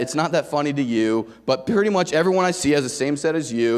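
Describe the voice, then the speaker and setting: Loud and animated, a man with a fairly high pitch swings his voice very widely over noticeable background noise. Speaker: sales rep speaker at conference. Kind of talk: motivational sales talk to audience.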